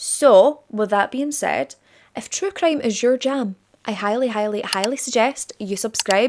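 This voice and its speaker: With a Scottish accent, a woman speaks at a fairly slow pace in a fairly high, animated voice with lively intonation. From Scotland. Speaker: true crime youtuber. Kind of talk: casual vlog-style monologue. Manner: chatty, animated.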